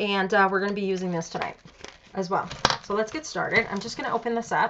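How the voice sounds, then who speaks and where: Amid noticeable background noise, a woman talks very fast at medium pitch. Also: ordinary pitch variation. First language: Spanish. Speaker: crafts tutorial host. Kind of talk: live craft tutorial. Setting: live stream. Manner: casual, chatty with fillers.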